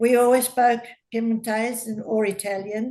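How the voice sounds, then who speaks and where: A fairly slow, flat monotone delivery in an Australian accent. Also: woman. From Australia (Queensland, then Adelaide and Sydney). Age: 80s+. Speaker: elderly interviewee recalling migrant childhood. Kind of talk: casual interview.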